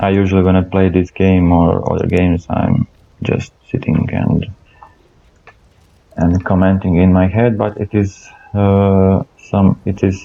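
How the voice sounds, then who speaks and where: A man with a non-native accent and a very deep, low pitch, fairly slow, with monotone, flat intonation, very even loudness, long, frequent pauses and noticeable background noise. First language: not English. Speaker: gaming channel host. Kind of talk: gameplay commentary. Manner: halting, many fillers and repetitions.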